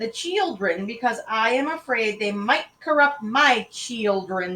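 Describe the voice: The delivery is plain reading aloud. Its intonation stays lively.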